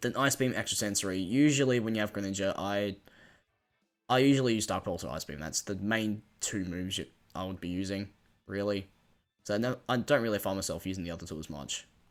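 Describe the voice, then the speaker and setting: The talking races along at a very fast pace with music in the background. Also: man, fairly low pitch for a man, ordinary pitch variation. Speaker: Pokemon gaming YouTuber. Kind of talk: casual gameplay commentary. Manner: halting, many fillers.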